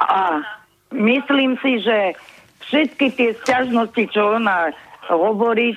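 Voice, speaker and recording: Very slowly and with long, frequent pauses, a woman speaks at a fairly high pitch with ordinary pitch variation and very even loudness. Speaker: caller. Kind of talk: casual chat. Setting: phone call.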